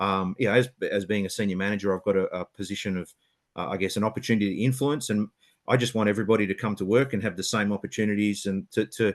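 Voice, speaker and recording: A man at a very fast pace, fairly low pitch and fairly even intonation, dry and close with no echo, over a quiet background. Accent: Australian. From Western Australia, Perth. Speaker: automotive engineering senior manager. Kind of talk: webinar panel talk. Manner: hesitant, many fillers and repeats.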